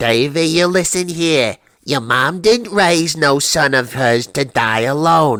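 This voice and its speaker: A put-on character voice at a fairly slow pace with very wide pitch swings, in a dry, close sound with no echo. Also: man. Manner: nagging, scolding, bossy.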